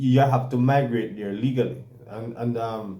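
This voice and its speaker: A man with a Jamaican accent has a dark, mellow tone and ordinary pitch variation. Audible room echo surrounds his voice. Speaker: talk show co-host. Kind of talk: casual chat. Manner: halting, many repetitions.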